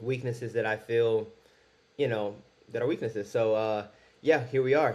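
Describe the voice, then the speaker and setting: A man with a medium-pitched voice speaks at a fairly quick pace. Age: 20s. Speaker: vlogger. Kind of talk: personal vlog monologue. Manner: fast; halting.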